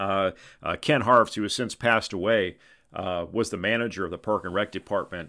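The man's voice sits at a fairly low pitch with ordinary pitch variation. He talks at a fairly quick pace. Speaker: podcast host. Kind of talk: solo podcast narration, casual storytelling. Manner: casual, filler-heavy, conversational.

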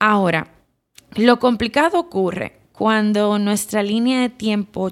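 On a very clean recording with a silent background, a woman with a Dominican accent speaks with fairly even intonation. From Dominican Republic. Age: 30s. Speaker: psychotherapist and podcast host. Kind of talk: reflective solo podcast talk.

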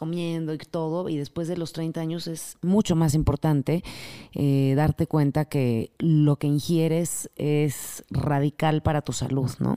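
A woman speaks in a very deep, low pitch with a dark, mellow tone. Her intonation is fairly even, and the sound is dry and close with no echo. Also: very clean recording, silent background. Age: 40s. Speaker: yoga teacher and wellness coach. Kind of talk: interview.

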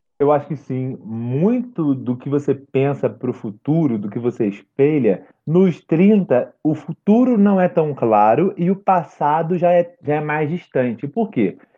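A man's fairly high voice, fairly slow in pace, with very wide pitch swings and hardly any pauses. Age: 30s. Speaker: podcaster. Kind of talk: casual chat.

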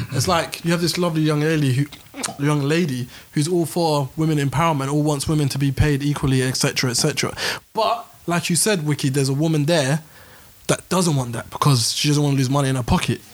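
There is noticeable background noise behind this man. He talks at a fairly quick pace in a fairly high voice. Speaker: podcast host. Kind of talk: heated group debate. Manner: animated, talks over others.

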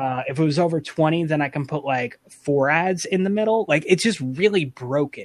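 A man with an unremarkable speaking voice talks at a moderate pace with hardly any pauses. His pitch is fairly high, with ordinary pitch variation. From New York / New Jersey area. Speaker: content creator. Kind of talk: casual chat.

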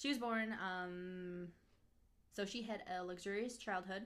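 A woman with an American accent, an unremarkable speaking voice, medium pitch and ordinary pitch variation. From northern Minnesota. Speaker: podcast co-host. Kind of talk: casual chat; storytelling.

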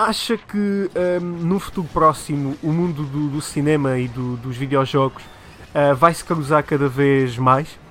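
A man with a European Portuguese accent speaks at a fairly slow pace in a fairly high pitch, with ordinary pitch variation. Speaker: TV show host. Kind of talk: casual chat.

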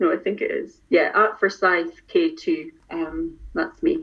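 A woman with a Scottish accent speaks at a fairly slow pace in a fairly high pitch. Her voice makes very wide pitch swings. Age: 40s. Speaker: music fan. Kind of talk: casual chat. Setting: video call.

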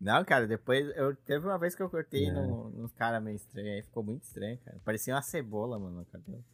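A man with a medium-pitched voice talks at a very fast clip with hardly any pauses, his intonation lively and his loudness swinging widely. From Brazil. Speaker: podcast host. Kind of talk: casual chat.

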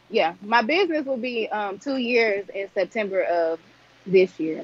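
With a Southern US accent, a woman talks at a moderate pace using lively intonation. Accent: US South. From Arkansas. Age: 20s. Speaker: entrepreneur. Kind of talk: casual chat.

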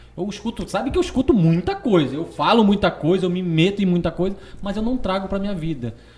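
Noticeable background noise sits behind a man with a high pitch. He talks at a very fast pace with ordinary pitch variation. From Parintins, Amazonas, northern Brazil. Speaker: podcast host. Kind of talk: casual interview chat.

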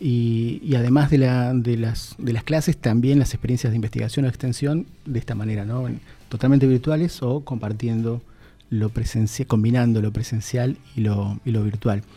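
Somewhat breathy, a man's dark, mellow voice moves at a moderate pace with fairly even intonation. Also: medium pitch for a man. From Argentina, Misiones (Posadas). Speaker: university vice dean and dean candidate. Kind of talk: radio interview. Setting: radio studio.

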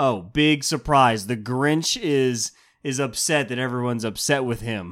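A man's ordinary speaking voice, medium in pitch, with ordinary pitch variation at a fairly slow pace. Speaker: podcast co-host. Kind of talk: casual chat. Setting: home recording.

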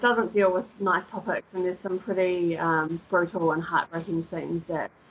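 A woman speaks at a moderate pace with a slight New Zealand accent. Her pitch is medium. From New Zealand, Christchurch. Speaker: English teacher and tour guide. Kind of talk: casual chat. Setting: remote call.

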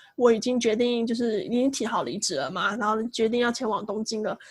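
Her high voice moves at a fairly quick pace, and this woman uses ordinary pitch variation. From Taiwan. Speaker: podcast co-host. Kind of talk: casual chat.

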